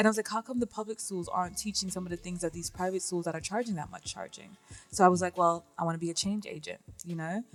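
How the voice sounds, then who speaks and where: Over music in the background, a woman at medium pitch talks at a very fast pace with big swings in loudness and fairly even intonation. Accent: English. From northern England, Manchester. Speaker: entrepreneur, financial literacy educator. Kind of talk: radio interview.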